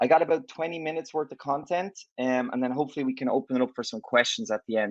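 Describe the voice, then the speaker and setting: Speaking at a very fast pace with an Irish accent, a man comes through in a dry, close sound with no echo. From Ireland. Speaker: tech company executive. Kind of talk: conference talk. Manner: conversational.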